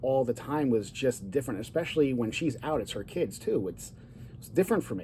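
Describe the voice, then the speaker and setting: A man's voice at a medium pitch. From Italian-American. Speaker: divorce coach and vlogger. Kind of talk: casual personal vlog monologue. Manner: loud; animated.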